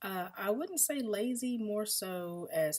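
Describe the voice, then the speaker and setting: The voice carries a slight Southern US accent and swings very widely in pitch. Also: woman. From US South, Mississippi. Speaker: vlogger. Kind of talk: casual Q&A monologue. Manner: casual, many fillers.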